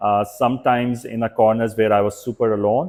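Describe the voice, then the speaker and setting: Medium pitch from a male speaker. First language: not English. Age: 40s. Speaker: startup founder. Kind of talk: podcast interview.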